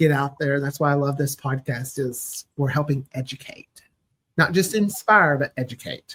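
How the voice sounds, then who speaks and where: A man speaks in a fairly high voice with a bright, sharp tone and ordinary pitch variation. The sound is dry and close, with no echo. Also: moderate pace. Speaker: podcast producer. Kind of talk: casual chat.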